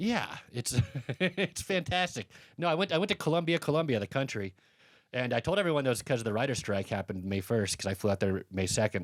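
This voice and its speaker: A man with an American accent talks at a fairly quick pace, his medium pitch moving in very wide swings. The sound is dry and close with no echo, on a very clean recording with a silent background. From Colorado, US. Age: 40s. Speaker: comedian. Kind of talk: casual chat.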